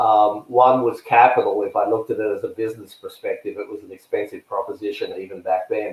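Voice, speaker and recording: Delivered at a very fast pace with hardly any pauses, this voice has a slight Australian accent and big swings in loudness. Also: man. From Australia, Melbourne. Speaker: tennis coach and search consultant. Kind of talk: interview. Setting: podcast.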